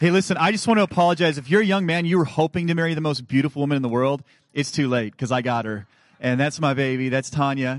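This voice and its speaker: A man's fairly high voice at a very fast pace, animated in tone, with ordinary pitch variation. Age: 30s. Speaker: guest preacher. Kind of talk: sermon. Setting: church.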